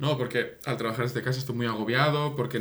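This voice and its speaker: In a room with audible echo, a man talks very fast with fairly even intonation. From Catalonia, Spain. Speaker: podcast co-host, improv performer. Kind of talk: improvised comedy chat.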